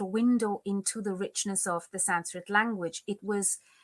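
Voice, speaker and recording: A woman with a Bengali accent speaks at a fairly slow pace with a fairly high pitch and fairly even intonation, in a dry, close sound with no echo. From India, Kolkata. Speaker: Sanskrit scholar. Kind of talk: interview.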